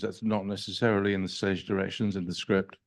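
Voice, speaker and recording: A man talks with a British accent. The background is quiet. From England. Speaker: film director. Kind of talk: Q&A discussion. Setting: stage with audience. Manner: halting.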